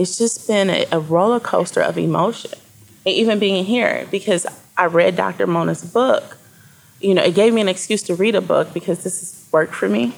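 A woman with an American accent and ordinary pitch variation, amid noticeable background noise. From Flint, Michigan. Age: 40s. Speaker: journalist and publisher. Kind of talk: interview conversation.

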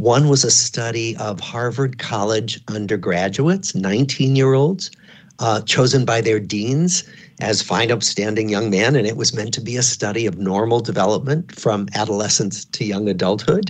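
A normal speaking voice with ordinary pitch variation, delivered at a moderate pace. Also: man, medium pitch for a man. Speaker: psychiatry professor and author. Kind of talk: radio interview.

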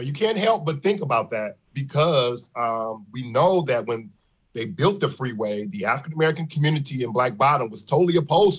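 A man with a fairly high voice speaks at a fairly quick pace, somewhat breathy, with lively intonation and big swings in loudness. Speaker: historian. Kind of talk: radio interview.

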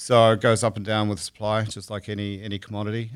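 A man speaks with a New Zealand accent at a fairly quick pace, his pitch fairly low. The recording is very clean, with a silent background. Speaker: fishmonger. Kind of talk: interview conversation. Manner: fast talker.

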